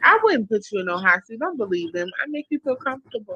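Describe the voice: The delivery is very fast. It comes with a Baltimore accent.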